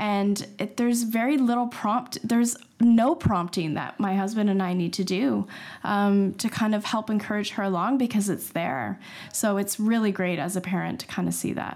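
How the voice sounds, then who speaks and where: A woman with a Canadian accent, a normal speaking voice, medium pitch, ordinary pitch variation, and a moderate pace. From Canada. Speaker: school parent. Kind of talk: casual interview.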